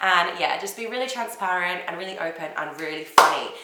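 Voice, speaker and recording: Animated in tone, a woman speaks at a medium pitch and fairly quick pace, with audible room echo and noticeable background noise. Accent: London. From London. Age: 20s. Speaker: YouTuber, reality TV contestant. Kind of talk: casual vlog advice.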